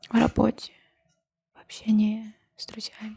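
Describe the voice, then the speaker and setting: Someone whispers quietly and somewhat breathily in a calm tone at a very slow pace. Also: woman. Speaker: ASMR creator. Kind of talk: ASMR chat to camera. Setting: indoors with fireplace sounds. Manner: whispered, quiet; calm, slow.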